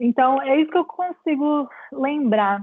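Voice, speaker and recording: The speaker is a woman with ordinary pitch variation. She goes at a fairly slow pace. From Brazil. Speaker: clinical psychologist. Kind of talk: lecture Q&A. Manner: halting.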